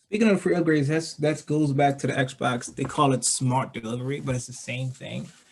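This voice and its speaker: Talking at a fairly quick pace with hardly any pauses, a man uses a fairly high, somewhat breathy voice with ordinary pitch variation. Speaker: gaming podcast co-host. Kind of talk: casual chat. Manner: halting.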